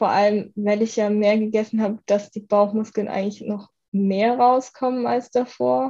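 A woman's fairly high voice with a dark, mellow tone, fairly even intonation and a moderate pace. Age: 20s. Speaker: university student, former coaching client. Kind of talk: podcast interview, personal testimony.

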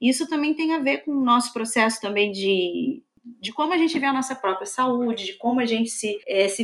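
Lively intonation marks a woman speaking with a Rio de Janeiro accent. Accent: Rio de Janeiro (carioca). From Belford Roxo, Rio de Janeiro state, Brazil. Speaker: historian. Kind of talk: interview.

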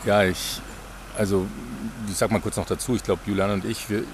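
The speech moves at a fairly quick pace in a flat monotone. Noticeable background noise runs underneath. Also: man. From Bavaria, near Munich. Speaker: podcast host, pilgrim. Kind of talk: casual conversation.

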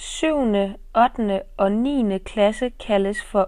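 A woman's fairly high voice with ordinary pitch variation, on a very clean recording against a silent background. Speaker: podcast host teaching Danish. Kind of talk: scripted narration for language learners. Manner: slow and clearly enunciated.

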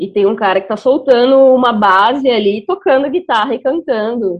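A plain, everyday voice, it keeps a moderate pace and ordinary pitch variation. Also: woman. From Brazil, interior of Mato Grosso do Sul. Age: 20s. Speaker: beatmaker. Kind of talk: casual discussion.

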